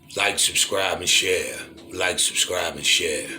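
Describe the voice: A man with a low pitch and a bright, sharp tone, at a slow pace, with fairly even intonation and audible room echo.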